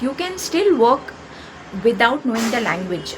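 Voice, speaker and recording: Amid noticeable background noise, a woman with an Indian accent speaks with very wide pitch swings. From India, Maharashtra (Konkan). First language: Konkani. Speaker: YouTuber. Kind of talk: opinion monologue.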